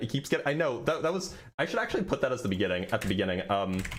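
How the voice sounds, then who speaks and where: A man speaks very fast with an American accent, his pitch swinging very widely. Noticeable background noise runs under the recording. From American Southwest. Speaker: debate streamer. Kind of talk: livestream chat reading superchats. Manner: stutters frequently. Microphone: noise gate cutting out quiet audio.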